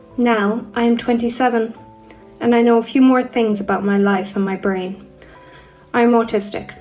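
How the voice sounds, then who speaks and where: Over music in the background, a woman with a fairly high pitch speaks at a moderate pace in a monotone, flat intonation, leaving long, frequent pauses. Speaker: voice actor. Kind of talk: personal narrative reading.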